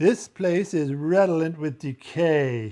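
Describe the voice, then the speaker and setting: A man speaks in a put-on character voice with a fairly high pitch. His pace is fairly slow. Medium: read story.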